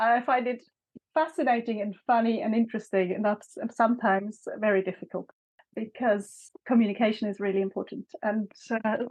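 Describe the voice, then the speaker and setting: A fairly high-pitched woman with a German accent, fairly even intonation and a moderate pace. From Switzerland, Bern. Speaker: author. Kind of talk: interview conversation.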